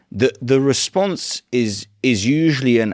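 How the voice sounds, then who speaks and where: On a very clean recording with a silent background, a man speaks in a British accent. His pace is very slow, with ordinary pitch variation. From UK. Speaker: interviewer, channel founder. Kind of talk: interview. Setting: in person interview in Warsaw.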